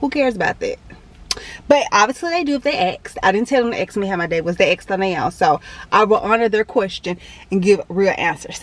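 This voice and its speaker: Against noticeable background noise, a woman with a fairly high voice talks very fast, with very wide pitch swings. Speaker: fitness vlogger. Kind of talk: casual vlog monologue.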